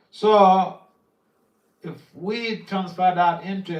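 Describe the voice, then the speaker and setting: A man's high-pitched voice with audible room echo. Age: 60s. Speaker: spiritual teacher giving a class. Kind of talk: religious lecture.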